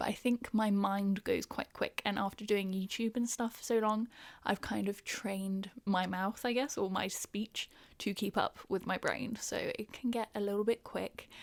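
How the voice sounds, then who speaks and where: A woman of medium pitch speaks in a southern English accent, the sound dry and close with no echo. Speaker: podcast host. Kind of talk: casual chat. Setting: home recording. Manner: fast; animated.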